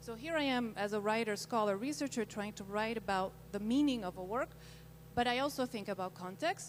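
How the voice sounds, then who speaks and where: A woman's fairly high voice with a Spanish accent, lively intonation and a fairly quick pace. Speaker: scholar and researcher. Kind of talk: panel discussion. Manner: halting.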